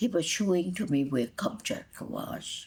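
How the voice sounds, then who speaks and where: Very slowly, a woman speaks in a fairly low, somewhat breathy voice with very wide pitch swings. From Hungary, Budapest. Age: 80s+. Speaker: grandmother telling life story. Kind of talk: oral history interview.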